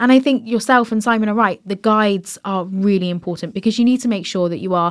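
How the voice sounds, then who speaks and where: On a very clean recording with a silent background, a woman uses an ordinary speaking voice at medium pitch with fairly even intonation. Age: 30s. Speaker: podcast host. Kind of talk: casual interview. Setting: podcast studio in London.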